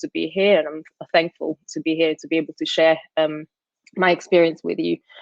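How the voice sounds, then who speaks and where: A woman talks with an Italian accent. Her intonation stays fairly even. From Sicily, Italy. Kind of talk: casual chat; talk at an online conference. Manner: hesitant, many fillers.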